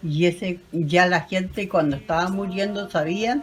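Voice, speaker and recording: The delivery is very slow, with lively intonation. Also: woman. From Chiloé, southern Chile. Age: 80s+. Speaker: elderly local interviewee on traditions. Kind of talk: interview recounting traditions.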